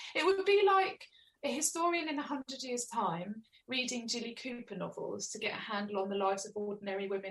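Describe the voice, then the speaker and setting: A woman with an Essex accent, fairly high-pitched, with very wide pitch swings and a fairly quick pace. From Essex, England (Chelmsford). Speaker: author. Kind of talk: interview.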